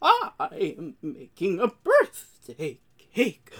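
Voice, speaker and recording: Someone in a put-on character voice talks at a very slow pace with a fairly high pitch. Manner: exaggerated, bad put-on.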